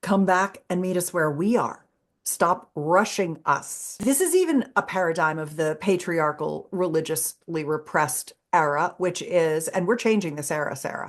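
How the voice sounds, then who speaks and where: The voice keeps to a moderate pace, its pitch varying in an ordinary way. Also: woman, fairly low pitch for a woman. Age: 60s. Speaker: sex educator. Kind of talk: interview. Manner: animated.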